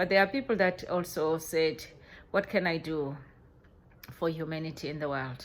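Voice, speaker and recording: A woman in a South African accent, her pitch very deep and low, with ordinary pitch variation and long, frequent pauses. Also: moderate pace. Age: 50s. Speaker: vlogger. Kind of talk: reflective monologue. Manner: halting, with many repetitions.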